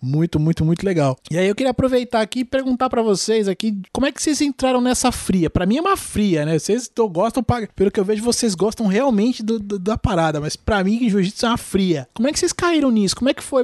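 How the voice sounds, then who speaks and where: A high-pitched man talks at a very fast pace with lively intonation and hardly any pauses, in a dry, close sound with no echo. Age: 30s. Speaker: podcast host. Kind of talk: casual chat.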